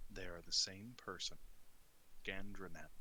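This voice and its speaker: A put-on character voice from a man, very deep and low in pitch, at a moderate pace over clear background noise. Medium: actual play. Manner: curt, cold.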